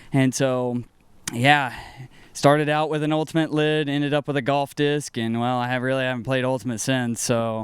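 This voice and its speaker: At a moderate pace, a man talks in a plain, everyday voice of medium pitch with fairly even intonation. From US South, North Carolina. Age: 30s. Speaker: disc golf player. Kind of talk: casual interview.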